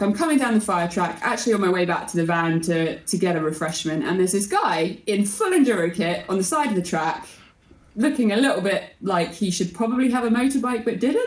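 An ordinary speaking voice moves at a fairly quick pace with lively intonation. The loudness stays very even throughout. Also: woman. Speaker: motorcyclist and content creator. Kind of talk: casual interview chat.

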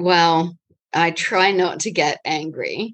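Speaking with a New Zealand accent, a woman keeps a fairly low pitch and fairly even intonation. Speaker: interviewee answering exam-style questions.

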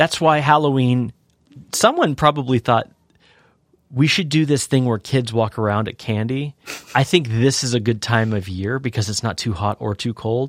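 A man's normal speaking voice, medium pitch with ordinary pitch variation, moderate pace, dry and close with no echo. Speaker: podcast co-host. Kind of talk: casual banter podcast. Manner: joking, playful.

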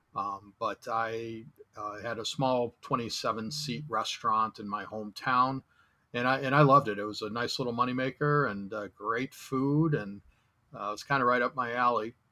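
Bright, sharp tone from a man of medium pitch with an American accent, moderate pace and fairly even intonation. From Chicago. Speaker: travel photographer and tour organizer. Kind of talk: casual interview.

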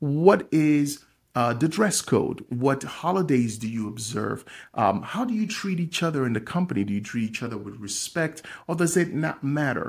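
This voice is somewhat breathy, with very wide pitch swings at a moderate pace. The recording is very clean, with a silent background. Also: man. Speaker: podcast host and small business owner. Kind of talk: solo motivational business talk.

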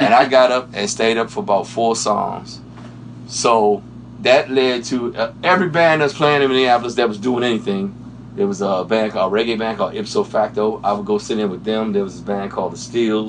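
A man with an American accent, medium pitch and ordinary pitch variation, at a fairly quick pace over noticeable background noise. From Washington D.C. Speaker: session guitarist. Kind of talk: interview. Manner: casual.

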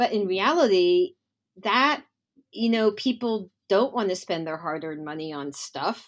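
Speaking at a fairly slow pace, a woman with a medium pitch lets it swing very widely. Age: 50s. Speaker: dancewear designer. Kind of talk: interview.

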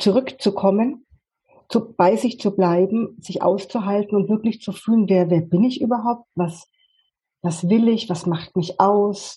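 A dark, mellow, somewhat breathy tone at a moderate pace, with fairly even intonation. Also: woman. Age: 50s. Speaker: life coach. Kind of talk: interview. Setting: video call.

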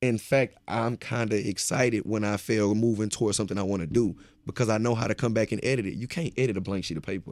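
A fairly low-pitched man with an American accent at a very fast pace, with hardly any pauses and fairly even intonation, on a very clean recording with a silent background. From Beaumont, Texas. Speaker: motivational speaker. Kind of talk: casual interview, testimony.

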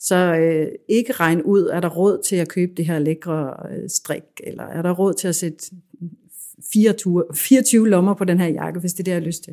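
On a very clean recording with a silent background, a woman uses a normal speaking voice, fairly low in pitch, at a moderate pace with fairly even intonation. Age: 40s. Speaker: fashion designer and business owner. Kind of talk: interview. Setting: her showroom.

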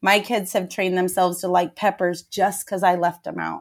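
A woman's medium-pitched voice with vocal fry, on a very clean recording with a silent background. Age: 40s. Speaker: fitness trainer. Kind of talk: casual chat.

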